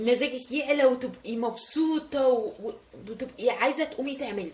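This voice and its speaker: High pitch from a woman, moderate pace and ordinary pitch variation. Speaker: lifestyle vlogger. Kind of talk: casual vlog tutorial. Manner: animated, voice rises with excitement; loud.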